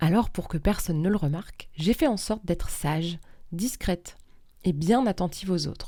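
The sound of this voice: Unforced voice reading aloud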